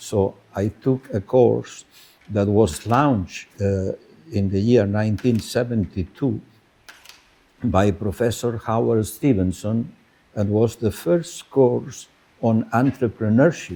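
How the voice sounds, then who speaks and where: At a very slow pace, a man talks in a fairly low voice with a Spanish accent. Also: ordinary pitch variation. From Spain. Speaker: business school professor. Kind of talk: conference speech. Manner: halting, many filler words.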